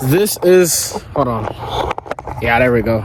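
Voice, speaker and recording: A man's lively intonation against noticeable background noise. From Nigeria. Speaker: vlogger. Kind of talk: casual vlog monologue. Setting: outdoors on campus, walk and talk. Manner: loud, yelling.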